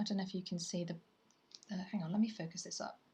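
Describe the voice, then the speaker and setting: A woman with a British accent talks in a somewhat breathy voice. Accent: British (UK). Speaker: artist livestreamer. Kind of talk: casual livestream chat. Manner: chatty, rambling with fillers.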